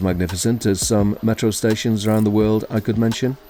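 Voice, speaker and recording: A man with a fairly low pitch talks over music in the background. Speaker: YouTuber, railway video presenter. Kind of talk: documentary voice-over narration.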